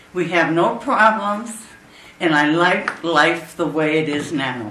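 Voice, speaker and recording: A woman at a fairly slow pace and fairly low pitch with ordinary pitch variation, plus audible room echo and noticeable background noise. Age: 80s+. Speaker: resident speaking at meeting. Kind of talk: public meeting comment.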